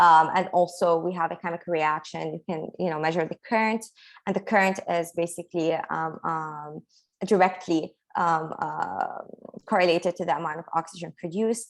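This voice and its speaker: A woman speaks at a moderate pace with an Arabic accent, her fairly low voice held in fairly even intonation. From Lebanon. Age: 20s. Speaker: engineering PhD student. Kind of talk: Q&A session. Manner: halting.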